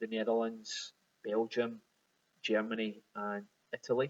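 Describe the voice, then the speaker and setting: A man in a Glaswegian accent speaks with monotone, flat intonation and long, frequent pauses. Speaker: whisky bottler. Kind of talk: recorded video message. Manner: halting, many repetitions.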